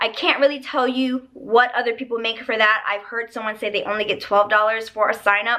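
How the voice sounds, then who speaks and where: A woman's raised, projected voice has a bright, sharp tone. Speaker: online ESL teacher and vlogger. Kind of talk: casual vlog review.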